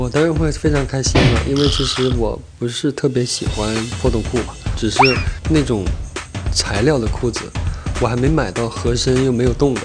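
Clear music plays in the background while the speaker goes at a moderate pace with long, frequent pauses. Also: man. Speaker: singer. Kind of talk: interview answer. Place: studio. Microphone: handheld.

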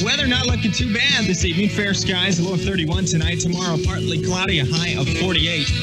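Loud music plays in the background as a man speaks. He goes at a very fast pace with hardly any pauses. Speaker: radio DJ. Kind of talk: radio DJ aircheck. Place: studio. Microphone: old recording.

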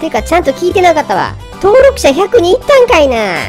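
A female-sounding, put-on character voice performs over clear music in the background. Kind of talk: comedy pet voiceover. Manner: brash, comic, complaining.

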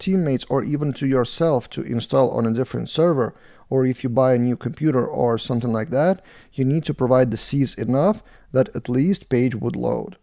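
Over a quiet background, a man talks at a fairly quick pace in a dark, mellow tone. His pitch variation is ordinary. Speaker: developer reviewing code. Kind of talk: tutorial.

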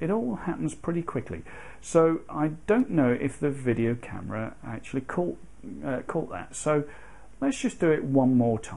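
A man's fairly high, dark and mellow voice with very wide pitch swings. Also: moderate pace. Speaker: photography hobbyist. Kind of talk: tutorial explanation to camera. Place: home room.

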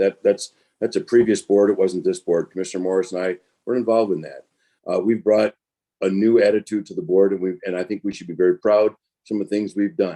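At a very fast pace, a man with an American accent speaks in a fairly low pitch with a dark, mellow tone. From northern Michigan. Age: 60s. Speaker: county commission candidate. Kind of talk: candidate forum closing statement.

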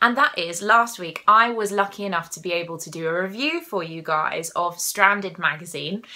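In a southern English accent, a woman speaks at a moderate pace with hardly any pauses, ordinary pitch variation and big swings in loudness. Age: 20s. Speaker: crafting podcaster. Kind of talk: casual monologue. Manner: animated. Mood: cheerful, enthusiastic. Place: home room. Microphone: phone near.

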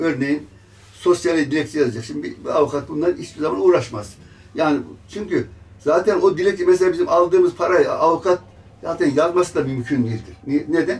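A high male voice at a fairly quick speed, pitch varying in an ordinary way. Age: 80s+. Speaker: retired gendarme, petition writer. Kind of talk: interview; interview answer. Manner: halting. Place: office. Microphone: handheld.

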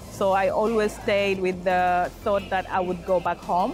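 Clear music plays in the background as a woman speaks at a moderate pace in a monotone, flat way, with a dry sound and no echo. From Tanzania. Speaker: project manager. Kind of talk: interview answer. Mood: calm, thoughtful. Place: hall.

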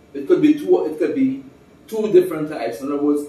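Audible room echo surrounds the man as he talks. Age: 80s+. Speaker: retired civil engineer, former calypso singer. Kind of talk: interview answer. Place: home room.

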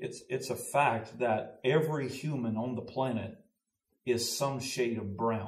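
In a Southern US accent, a somewhat breathy man speaks at a fairly slow pace and medium pitch with ordinary pitch variation, audible room echo and a quiet background. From US South (Louisiana, Mississippi). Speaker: pastor. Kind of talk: casual discussion. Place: studio.

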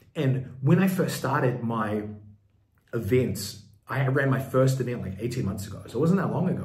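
Audible room echo surrounds a man's somewhat breathy voice at a medium pitch. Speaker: business coach. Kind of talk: tutorial.

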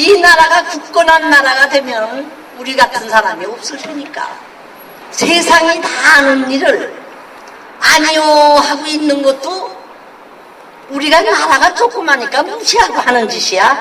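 A raised, projected voice with lively intonation moves at a fairly slow pace, with long, frequent pauses and noticeable background noise. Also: woman, high pitch for a woman. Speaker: war survivor speaking out against war and violence toward women. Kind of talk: heartfelt spoken message to the public.

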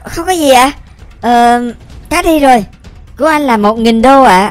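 A put-on character voice with faint music in the background. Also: female-sounding voice, high pitch for a woman, moderate pace. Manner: polite, sales patter.

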